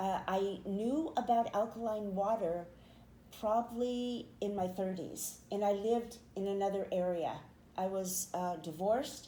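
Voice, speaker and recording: At a fairly slow pace, a woman speaks in a dark, mellow tone at medium pitch with ordinary pitch variation, and audible room echo surrounds her voice. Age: 70s. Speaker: poet and podcaster, author and painter. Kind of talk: interview testimony.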